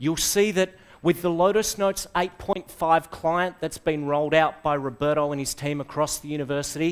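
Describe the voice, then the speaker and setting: A man with an Australian accent talks at a moderate pace, his pitch fairly high, with hardly any pauses. The background is quiet. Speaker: software trainer / conference speaker; presenter. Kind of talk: presentation to a live audience. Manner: animated. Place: classroom.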